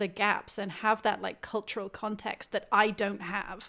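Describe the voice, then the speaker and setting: A woman's fairly high voice with a British accent. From UK. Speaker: games journalist. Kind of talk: casual chat.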